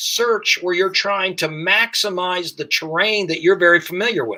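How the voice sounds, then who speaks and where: A raised, projected voice comes through with an American accent. Its tone is bright and sharp. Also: man. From US Midwest, Dayton, Ohio. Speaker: firearms instructor. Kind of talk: podcast interview.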